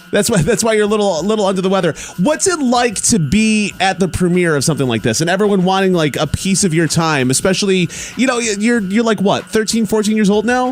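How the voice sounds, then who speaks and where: A man's very fast, high-pitched speech with lively intonation and very even loudness, over noticeable background noise. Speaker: radio host. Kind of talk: radio interview. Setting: radio studio. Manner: stuttering.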